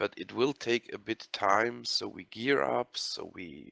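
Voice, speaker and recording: A medium-pitched male voice with a German accent, very slow in pace, dry and close with no echo. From Austria. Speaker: online game guild member. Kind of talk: group voice chat meeting. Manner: hesitant, with fillers.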